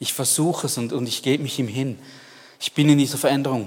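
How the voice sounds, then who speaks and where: The man's pace is fairly quick. His pitch varies in an ordinary way. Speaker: preacher. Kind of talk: sermon. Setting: church. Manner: animated, warm, earnest; direct, addressing listener as du.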